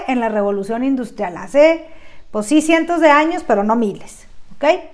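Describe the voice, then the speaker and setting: In a Mexican accent, a woman speaks with a high pitch and lively intonation amid audible room echo. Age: 30s. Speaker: podcast host and branding speaker. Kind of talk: lecture.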